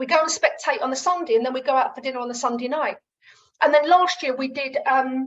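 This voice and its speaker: Speaking in a southern English accent, a woman talks at a very fast pace and high pitch with ordinary pitch variation. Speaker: running coach. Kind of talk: webinar sales pitch. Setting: video call. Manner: casual, conversational.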